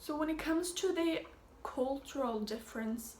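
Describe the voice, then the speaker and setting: The woman's speech carries audible room echo and noticeable background noise. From Sweden. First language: Swedish. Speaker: au pair vlogger. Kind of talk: casual vlog update. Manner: hesitant, many fillers.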